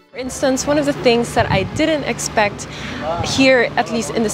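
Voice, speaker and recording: A woman's voice with ordinary pitch variation, dry with no echo, over noticeable background noise. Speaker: travel vlogger. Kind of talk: casual vlog chat. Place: waterside. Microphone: phone near.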